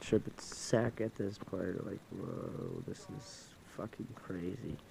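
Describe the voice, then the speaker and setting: A man's fairly low voice at a very slow pace, fairly even intonation, and big swings in loudness. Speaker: vlogger. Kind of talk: casual storytelling vlog. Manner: halting, repetitive.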